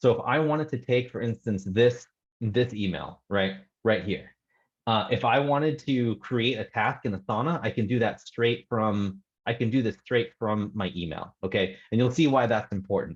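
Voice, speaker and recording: A man is speaking at medium pitch. His pitch varies in an ordinary way. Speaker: real estate investor guest. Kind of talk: screen-share tutorial. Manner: fast.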